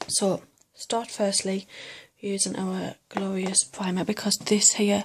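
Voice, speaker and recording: A soft-spoken woman talks at a fairly slow pace in a monotone, flat intonation. Her voice is somewhat breathy. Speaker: makeup seller and beauty vlogger. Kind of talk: tutorial.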